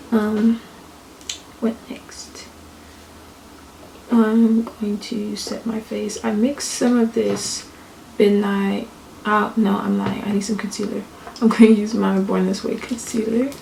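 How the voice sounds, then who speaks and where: Whispering quietly at a very slow pace with long, frequent pauses, a woman is heard over noticeable background noise. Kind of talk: casual talk to camera. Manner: whispered.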